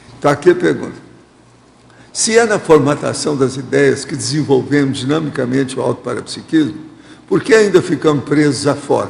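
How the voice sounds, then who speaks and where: A man speaks with a fairly high pitch and lively intonation. Noticeable background noise runs underneath. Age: 80s. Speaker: lecturer. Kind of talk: lecture with audience questions.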